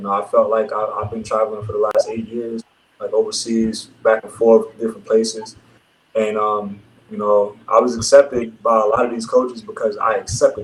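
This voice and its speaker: With a New York accent, the speech comes at a fairly quick pace with big swings in loudness. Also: man. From Brooklyn, New York. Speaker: professional basketball player. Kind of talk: casual interview.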